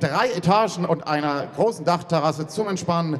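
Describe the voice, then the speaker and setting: A man's voice shows ordinary pitch variation, with light noise behind it. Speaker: ring announcer. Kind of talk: ring announcement. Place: hall. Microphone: pa.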